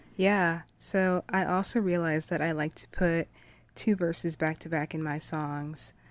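An unremarkable speaking voice from a woman, fairly low in pitch, moving at a fairly slow pace. Her intonation is fairly even, on a very clean recording with a silent background. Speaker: podcast host. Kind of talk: casual interview chat.

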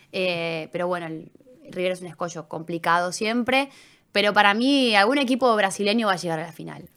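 With an unremarkable speaking voice, a woman talks fairly quickly at a medium pitch, her pitch varying in an ordinary way and her loudness swinging widely. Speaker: sports journalist. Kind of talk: casual interview. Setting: studio.

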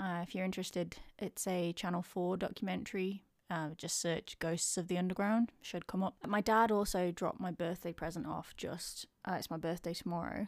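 In a very clean recording with a silent background, a woman with an English accent speaks at a moderate pace, her medium pitch carried with fairly even intonation. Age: 30s. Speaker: podcaster. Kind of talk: casual vlog monologue. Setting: home.

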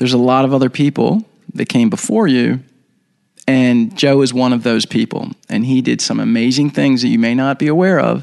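With an American accent, a man in an unremarkable speaking voice talks at medium pitch and a moderate pace, with ordinary pitch variation and very even loudness. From Baltimore, Maryland, US. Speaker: documentary filmmaker. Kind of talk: interview, storytelling.

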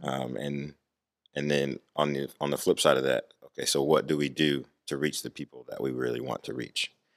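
With a calm, relaxed tone, a man talks at a fairly quick pace in a very deep, low, monotone voice marked by vocal fry, in a dry, close sound with no echo. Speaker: youth ministry program director. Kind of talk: casual interview.

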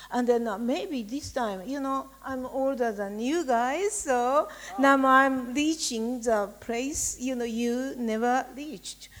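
A woman in a Japanese accent speaks at a very slow pace with hardly any pauses. Her pitch is high and its variation ordinary. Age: 60s. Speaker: writer. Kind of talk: panel discussion.

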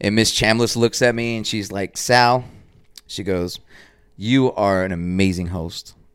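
A man's fairly low voice in an American accent, fairly slow and fairly even in intonation, on a very clean recording with a silent background. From Dallas, Texas. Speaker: artist. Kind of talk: casual chat. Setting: at home studio. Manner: loud; mumbling.

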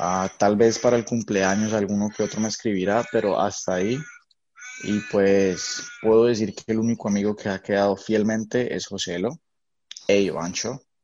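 In an ordinary speaking voice, a man talks at a moderate pace with fairly even intonation and a fairly low pitch. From Colombia. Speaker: podcast co-host. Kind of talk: casual chat.

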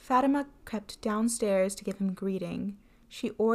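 A natural voice reading aloud, with ordinary shifts in pitch.

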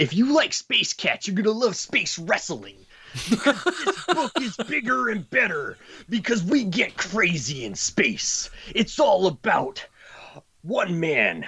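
A man's put-on character voice, high-pitched and delivered at a fairly slow pace. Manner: hyped, promotional.

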